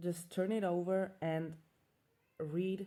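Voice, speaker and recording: A woman speaks with a non-native accent and fairly even intonation. Her fairly low voice has a dark, mellow tone. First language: not English. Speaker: self-growth vlogger. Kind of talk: casual monologue. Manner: halting.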